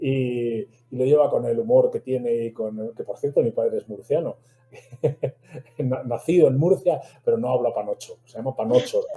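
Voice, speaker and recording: The pace is moderate. Long pauses come often. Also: man. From Spain, Madrid. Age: 60s. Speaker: medical translator. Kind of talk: interview.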